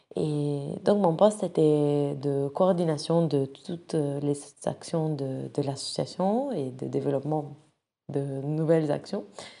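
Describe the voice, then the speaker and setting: In an Italian accent, a woman speaks very slowly at a very deep, low pitch, with a dark, mellow tone and ordinary pitch variation. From Italy (Rome). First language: Italian (speaking French). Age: 20s. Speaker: nonprofit director. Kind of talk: personal profile monologue. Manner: hesitant, many fillers.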